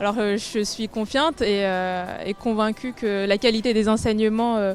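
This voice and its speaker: Music plays in the background while a woman speaks at a fairly slow pace. Her delivery is monotone and flat. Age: 20s. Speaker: engineering student, award winner. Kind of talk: prepared testimony. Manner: hesitant, many filler sounds.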